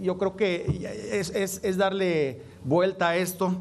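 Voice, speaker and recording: A man speaks over noticeable background noise. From Nuevo León, Mexico. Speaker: legislator. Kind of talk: parliamentary speech.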